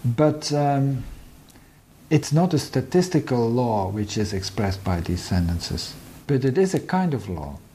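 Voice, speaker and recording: A man with a Dutch accent talks at a fairly slow pace in a somewhat breathy, dark, mellow tone. His medium pitch swings very widely. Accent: Dutch-accented English, soft G. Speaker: philosophy professor. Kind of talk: academic interview conversation.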